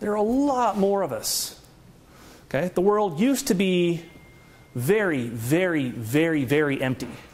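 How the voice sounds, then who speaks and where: In a room with audible echo, a man with a high voice speaks fairly slowly, taking long, frequent pauses while his pitch swings very widely. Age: 40s. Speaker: economist. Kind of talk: lecture. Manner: animated.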